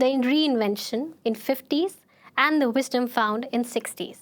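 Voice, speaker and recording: A woman speaks at a fairly slow pace in a high pitch. The recording is very clean, with a silent background. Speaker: podcast host. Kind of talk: scripted show introduction.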